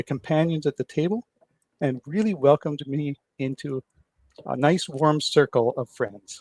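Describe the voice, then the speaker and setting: A man's fairly high voice with ordinary pitch variation in a dry, close sound with no echo. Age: 60s. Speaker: podcast host. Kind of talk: podcast interview.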